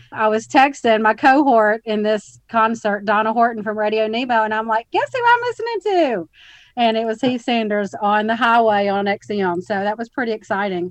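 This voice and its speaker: A woman's fairly high voice in an Alabama accent, fairly even in intonation, at a moderate pace, with a dry, close sound and no echo. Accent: Southern US (Alabama). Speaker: podcast host. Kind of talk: casual interview.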